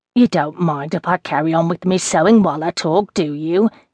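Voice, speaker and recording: Over a quiet background, a woman speaks at a moderate pace in a plain, everyday voice, the sound dry and close with no echo. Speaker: audiobook narrator. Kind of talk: scripted narration. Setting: studio. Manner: rambling, reminiscing, warm and wry.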